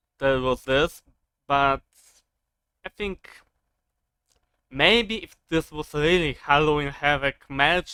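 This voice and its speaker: Very slow speech with long, frequent pauses and a non-native accent. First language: not English. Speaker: wrestling commentary youtuber. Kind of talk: casual monologue review. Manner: halting, many fillers.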